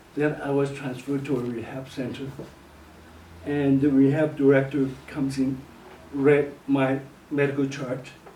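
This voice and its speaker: A man's fairly high, monotone voice with flat intonation at a moderate pace, long, frequent pauses and noticeable background noise. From Hong Kong. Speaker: church bass player. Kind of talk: personal testimony.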